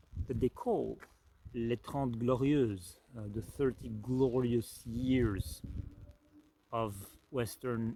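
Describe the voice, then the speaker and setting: A man speaks very slowly in a Belgian French accent, his medium-pitched voice dark and mellow in tone with ordinary pitch variation. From French-speaking Belgium. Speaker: spiritual life coach. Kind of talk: reflective talk to camera. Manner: hesitant, many fillers.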